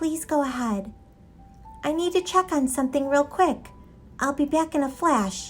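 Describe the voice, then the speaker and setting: A woman's put-on character voice, high-pitched, at a moderate pace with long, frequent pauses and faint music in the background. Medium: read story. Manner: warm, friendly.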